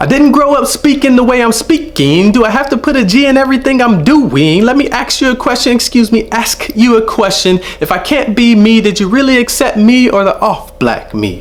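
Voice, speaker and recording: A man talks with an extremely high pitch at a fairly quick pace, with hardly any pauses and ordinary pitch variation. His loudness stays very even, and there is noticeable background noise. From Los Angeles area, Southern California. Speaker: spoken word poet, teacher. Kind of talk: spoken word performance. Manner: rhythmic, emphatic.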